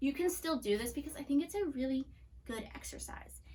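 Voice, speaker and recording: Noticeable background noise sits behind this woman. Her tone is animated. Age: 30s. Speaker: children's ministry teacher. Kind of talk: children's church lesson. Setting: filmed video lesson. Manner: fast; casual and animated.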